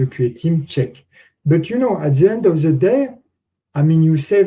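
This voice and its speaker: The voice has a dark, mellow tone with a French accent. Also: man. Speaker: conference speaker, testing expert. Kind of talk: conference Q&A answer. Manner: halting, many fillers.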